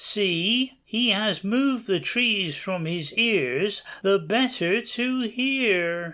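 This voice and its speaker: In a put-on character voice with fairly high pitch, the speaker goes at a very slow pace with hardly any pauses. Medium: audio drama.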